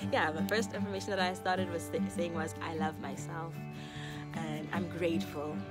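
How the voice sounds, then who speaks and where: Over loud background music, a woman speaks at a moderate pace in a dry sound with no echo. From South Africa. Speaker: YouTuber. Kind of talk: casual talk to camera. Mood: warm, earnest. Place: garden. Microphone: phone near.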